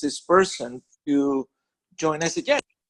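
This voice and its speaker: Recorded with a dry, close sound and no echo, a man with a Spanish accent speaks at a fairly high pitch. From Venezuela. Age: 40s. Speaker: network marketing leader and author. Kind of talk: conference call interview. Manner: halting, many fillers and restarts.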